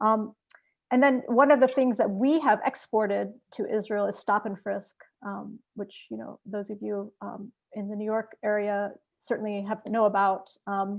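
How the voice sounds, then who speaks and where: Her loudness swinging widely, a woman with an unremarkable speaking voice talks at a moderate pace and a fairly high pitch with fairly even intonation. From US, Palestinian-American. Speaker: activist panelist. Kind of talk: panel discussion.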